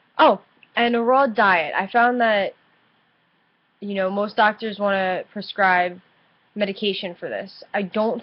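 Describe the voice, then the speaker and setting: A woman's voice of medium pitch with ordinary pitch variation. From New Jersey, US. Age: 20s. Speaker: vlogger with chronic illness. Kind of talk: casual webcam vlog. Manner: halting, hesitant.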